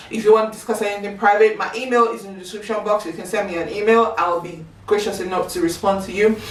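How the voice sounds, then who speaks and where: A woman talks at a very fast pace with a slight British accent. Noticeable background noise and audible room echo fill the recording. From Nigeria. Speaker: YouTuber. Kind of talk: casual chat.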